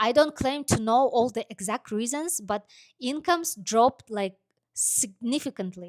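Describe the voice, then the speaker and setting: With no echo, the sound is dry and close, and the recording is very clean over a silent background. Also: woman, high pitch for a woman, lively intonation, moderate pace. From Kazakhstan. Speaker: vlogger and truck driver. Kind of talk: personal story monologue. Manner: hesitant, many fillers.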